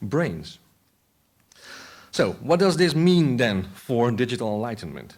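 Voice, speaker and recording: A man with a Dutch accent, medium in pitch, at a moderate pace, with very wide pitch swings. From Netherlands. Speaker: philosopher of technology. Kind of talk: conference talk. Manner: halting.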